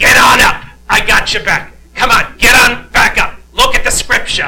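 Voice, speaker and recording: This put-on character voice moves at a moderate pace. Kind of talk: colloquial, preacherly. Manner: encouraging, urging someone to get back up.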